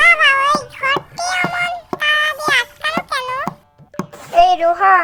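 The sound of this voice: This cartoonish character voice is squeaky and extremely high, with very wide pitch swings. It moves at a fairly slow pace.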